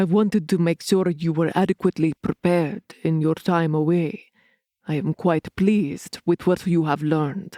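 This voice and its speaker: On a very clean recording with a silent background, a woman uses a gruff put-on character voice at a fairly low pitch and a moderate pace. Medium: read story. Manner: gruff, measured, formal.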